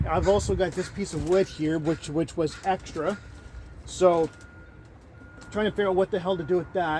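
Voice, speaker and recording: A man's high-pitched voice at a moderate pace, with fairly even intonation, long, frequent pauses and noticeable background noise. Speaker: van-dwelling vlogger. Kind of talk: casual vlog monologue. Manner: halting, many fillers.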